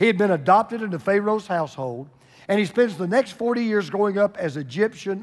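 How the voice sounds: Someone reads naturally, and their pitch varies in an ordinary way.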